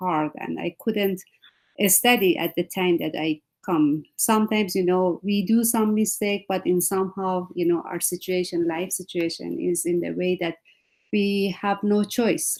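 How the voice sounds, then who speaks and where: A woman speaks with a non-native accent at a medium pitch. Her pace is fairly slow and her intonation fairly even. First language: not English. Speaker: panelist, educator. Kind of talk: panel discussion. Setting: video call.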